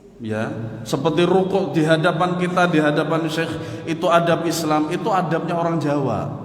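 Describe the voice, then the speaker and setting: Against noticeable background noise and audible room echo, a loud man with a high pitch speaks at a moderate pace with ordinary pitch variation. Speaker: Islamic religious teacher. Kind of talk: religious lecture.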